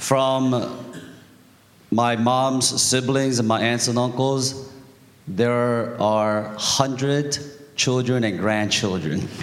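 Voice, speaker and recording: A man speaks very slowly with long, frequent pauses and very even loudness. The room echoes audibly and background noise is noticeable. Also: medium pitch for a man, fairly even intonation. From Korea. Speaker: church member giving testimony. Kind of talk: testimony.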